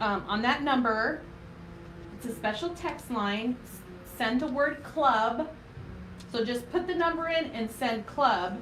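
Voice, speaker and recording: Loud and high-pitched, a woman talks at a fairly slow pace with lively intonation and long, frequent pauses, with audible room echo. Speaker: craft tutorial host, small business owner. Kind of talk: live craft tutorial. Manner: casual, chatty with filler words.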